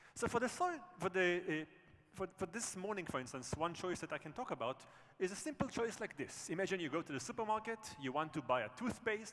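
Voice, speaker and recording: A man with a high pitch, very wide pitch swings, and a fairly quick pace. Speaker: professor, conference speaker. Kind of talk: conference talk.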